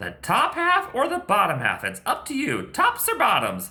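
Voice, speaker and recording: A put-on character voice with a high pitch. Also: moderate pace. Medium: read story. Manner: persuasive.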